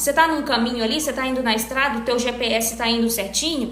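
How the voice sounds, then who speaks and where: A woman at a very fast pace with fairly even intonation, amid noticeable background noise and audible room echo. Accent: northeastern Brazilian. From Northeast Brazil. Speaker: back pain health professional. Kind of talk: live stream talk answering viewers. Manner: casual conversational.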